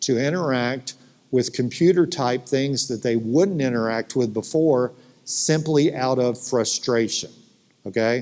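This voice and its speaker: Speaking fairly slowly in a Southern US accent, a man has a medium pitch, ordinary pitch variation and a dark, mellow tone. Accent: Southern American. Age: 60s. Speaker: futurist. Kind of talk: conference keynote talk. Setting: stage with audience. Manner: animated.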